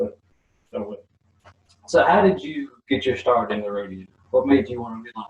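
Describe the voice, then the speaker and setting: A somewhat breathy man with a Southern US accent speaks at medium pitch and a moderate pace, with lively intonation. His loudness swings widely, and he leaves long, frequent pauses. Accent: Southern American. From US South, Mississippi. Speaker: channel host, interviewer. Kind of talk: interview. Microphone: poor audio, untested.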